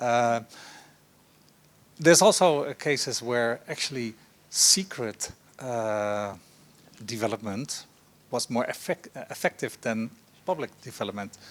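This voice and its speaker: A man with a Dutch accent speaks at a fairly slow pace and a medium pitch, his intonation lively and his loudness swinging widely, with long, frequent pauses on a very clean recording against a silent background. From Netherlands. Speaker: professor, panelist. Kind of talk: panel discussion. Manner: hesitant, many fillers.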